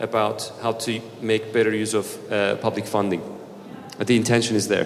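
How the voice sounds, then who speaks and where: A man speaks at a medium pitch and moderate pace, his intonation monotone and flat. Noticeable background noise and audible room echo surround him. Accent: Turkish. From Turkey. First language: Turkish. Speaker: startup founder. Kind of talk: panel discussion. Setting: stage with audience.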